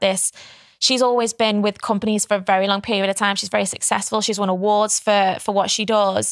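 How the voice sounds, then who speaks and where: A fairly high-pitched woman's voice in an English accent, dry with no echo, over a quiet background. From England. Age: 20s. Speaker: pageant winner and entrepreneur; podcast guest. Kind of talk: interview. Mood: relaxed, friendly. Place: studio. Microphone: studio mic.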